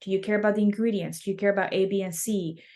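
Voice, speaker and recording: Her voice sits at a medium pitch. The woman talks with a Spanish accent. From Mexico City. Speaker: snack company founder. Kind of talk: interview.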